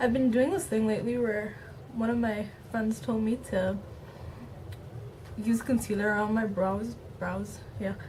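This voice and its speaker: A woman talks at a fairly slow pace, with a fairly high pitch and fairly even intonation. She leaves long, frequent pauses, and the room echo is audible. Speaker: beauty vlogger. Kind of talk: makeup tutorial.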